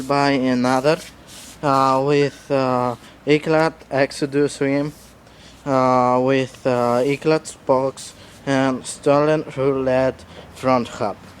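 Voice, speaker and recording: At a very slow pace, a man with a non-native accent speaks at a fairly high pitch. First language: not English. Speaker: BMX rider. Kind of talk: casual bike walkthrough to camera. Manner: hesitant, many fillers.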